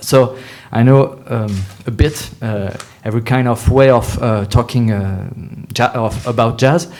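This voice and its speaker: A man speaks with a French accent at a fairly slow pace. His pitch is medium, and his intonation is fairly even. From France. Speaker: music journalist and panel moderator. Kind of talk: panel discussion. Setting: festival roundtable with audience. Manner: halting, many fillers.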